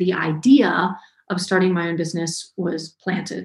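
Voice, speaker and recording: Speaking at a moderate pace in an American accent, a woman with a medium pitch sounds somewhat breathy. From US South, North Georgia. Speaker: web developer and online educator. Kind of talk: interview.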